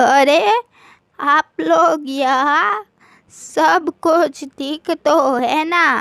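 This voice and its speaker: A female-sounding voice does a cartoonish character at a very slow pace and a high pitch. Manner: gentle, motherly.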